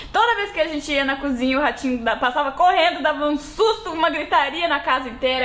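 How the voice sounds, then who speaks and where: The speaker talks at a fairly quick pace with lively intonation over noticeable background noise. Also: woman. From Brazil, Rio Grande do Sul (western border near Uruguaiana). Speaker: podcast co-host. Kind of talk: casual chat.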